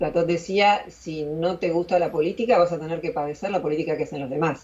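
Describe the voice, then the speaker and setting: A woman speaks at a fairly quick pace in a plain, everyday voice, her fairly low pitch moving with ordinary variation. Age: 60s. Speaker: philosopher and YouTuber. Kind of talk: interview.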